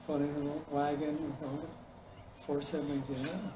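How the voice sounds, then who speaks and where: Monotone and flat, a man with a fairly high pitch speaks over noticeable background noise. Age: 80s+. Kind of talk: oral history interview answer.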